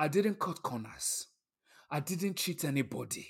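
On a very clean recording with a silent background, a man with a high pitch talks at a fairly slow pace with lively intonation. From Nigeria. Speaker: author and storyteller. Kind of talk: casual interview.

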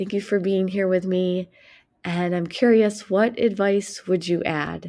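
Speaking at a fairly slow pace, a woman with a medium pitch and a warm, gentle, dark, mellow tone keeps a monotone, flat intonation on a very clean recording with a silent background. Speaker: poetry podcast host and runner. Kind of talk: reading her own rhyming advice poem aloud, spoken-word style. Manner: playful, encouraging coach-like cadence with rhymes; warm, gentle and calming toward the close.

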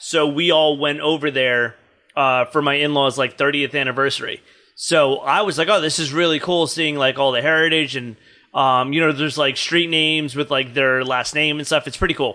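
At a moderate pace, a man with a bright, sharp tone and fairly high pitch speaks with fairly even intonation. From New Jersey. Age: 30s. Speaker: stand-up comedian. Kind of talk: casual chat.

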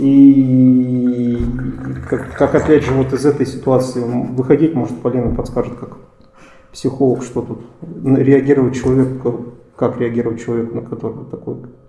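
A man's medium-pitched, monotone voice at a moderate pace, with big jumps in volume, long and frequent pauses, and noticeable noise behind it. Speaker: journalist and podcast host. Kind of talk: podcast discussion; scripted narration.

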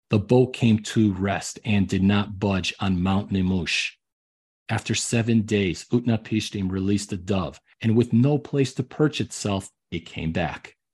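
Quiet in the background, the recording features a man with a fairly low pitch. He talks at a fairly slow pace with ordinary pitch variation. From Chicago area, US. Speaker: podcast host and history storyteller. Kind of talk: history documentary narration. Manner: measured, storytelling cadence; enthusiastic, dramatic when reading quoted passages.

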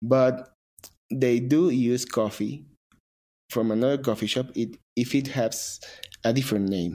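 A man with a Spanish accent speaks in a dark, mellow tone, leaving long, frequent pauses. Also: medium pitch for a man, ordinary pitch variation, fairly slow pace. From Mexico. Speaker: barista and coffee shop owner. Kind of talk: interview. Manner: halting.

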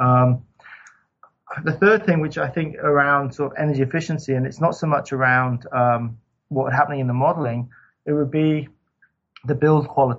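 Speaking at a moderate pace with long, frequent pauses, a man with a fairly high pitch sounds somewhat breathy and keeps a fairly even intonation. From Scotland. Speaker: sustainable building consultant. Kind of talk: interview. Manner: halting.

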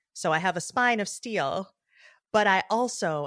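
In a very clean recording with a silent background and a dry, close sound with no echo, a woman with an American accent uses a plain, everyday voice, lively intonation and a moderate pace. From US Midwest, Detroit, Michigan. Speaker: journalist and podcast host. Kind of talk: interview conversation.

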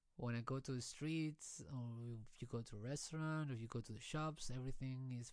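Moderate pace and a non-native accent. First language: not English. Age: 30s. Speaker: podcaster and musician. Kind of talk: casual solo monologue. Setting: home studio. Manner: halting, with fillers.

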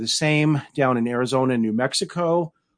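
Here is a normal speaking voice with a General American accent. Its pitch variation is ordinary. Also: man. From Denver, Colorado. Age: middle-aged. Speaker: novelist. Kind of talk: interview.

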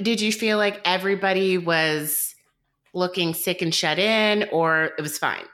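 The speaker is a woman. She talks with a Southern US accent. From US South, coastal southeast Georgia. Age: 30s. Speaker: dietitian. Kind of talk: casual chat.

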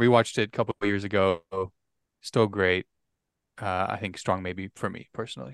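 Against a quiet background, a man with a normal speaking voice talks at a moderate pace with fairly even intonation in a dry, close sound with no echo. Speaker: podcast guest. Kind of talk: casual chat.

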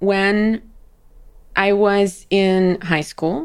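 A woman in a very clean recording with a silent background. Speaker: robotics professor. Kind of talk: interview. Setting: studio. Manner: animated.

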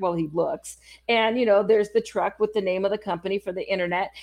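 A woman with an American accent talks at a medium pitch. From California, San Francisco. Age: 50s. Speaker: podcast host. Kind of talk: casual chat; interview.

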